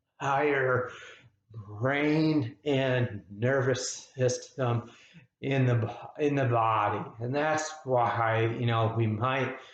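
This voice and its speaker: Speaking at a very slow pace, a man uses a medium, somewhat breathy voice. His pitch variation is ordinary. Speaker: psychotherapist living with spasmodic dysphonia. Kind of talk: personal explainer video. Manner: halting, effortful.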